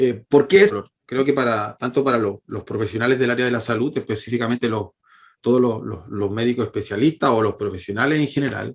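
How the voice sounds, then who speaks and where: A man talks with a Chilean accent. His pace is fairly quick. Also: medium pitch for a man, ordinary pitch variation. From Chile, La Calera. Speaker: physiotherapist, pain researcher. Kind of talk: lecture. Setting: online conference with shared screen. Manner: halting, many fillers and repetitions.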